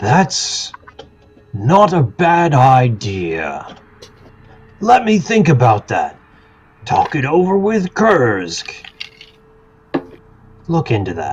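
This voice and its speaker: A put-on character voice from a man, fairly high in pitch, at a very slow pace with long, frequent pauses. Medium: actual play. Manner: guarded, folksy.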